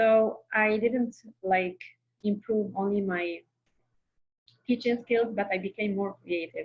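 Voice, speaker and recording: Somewhat breathy and with fairly even intonation, a woman speaks at a very slow pace, leaving long, frequent pauses. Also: medium pitch for a woman. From Algeria. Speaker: Arabic teaching assistant. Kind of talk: interview.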